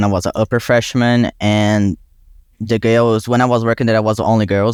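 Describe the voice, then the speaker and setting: A man with a Brazilian Portuguese accent talks at a moderate pace in a fairly low, monotone pitch with flat intonation, the sound dry and close with no echo on a very clean recording with a silent background. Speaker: student. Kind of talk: casual interview. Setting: podcast. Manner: halting.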